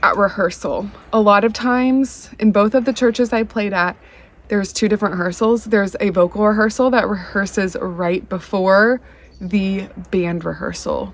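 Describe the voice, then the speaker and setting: A woman with an unremarkable speaking voice, medium pitch, fairly even intonation and a moderate pace. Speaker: violinist on church worship team. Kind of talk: vlog tutorial. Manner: casual, chatty.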